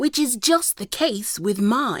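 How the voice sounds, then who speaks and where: In a put-on character voice, a female-sounding voice growls at a high pitch. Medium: read story. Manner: abrupt, rude.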